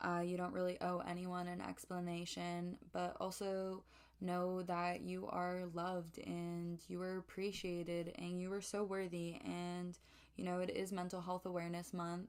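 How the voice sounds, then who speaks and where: A woman's fairly low, monotone voice with flat intonation, at a fairly slow pace. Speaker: podcast host. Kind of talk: solo podcast monologue. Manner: halting, with hesitations.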